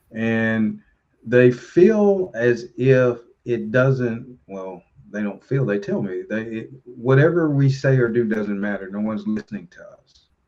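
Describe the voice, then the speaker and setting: A man with a Tennessee accent speaks at a fairly slow pace in a medium pitch. His intonation is lively, with big swings in loudness. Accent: Southern US (Tennessee). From Tennessee, near Nashville. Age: 60s. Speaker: local politician and pastor. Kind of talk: casual chat. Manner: halting.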